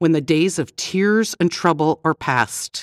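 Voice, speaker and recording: In a very clean recording with a silent background, a woman speaks in a gentle, calm tone at a very deep, low pitch. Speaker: devotional narrator. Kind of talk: devotional audiobook narration with scripture readings and a closing prayer. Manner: calm, solemn and reverent, slow and measured; gentle, reassuring, formal.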